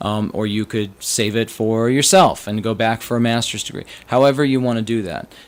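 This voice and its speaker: Speaking at a fairly quick pace with an American accent, a man uses an ordinary speaking voice at a medium pitch with ordinary pitch variation. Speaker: financial advisor. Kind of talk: podcast explainer. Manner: casual.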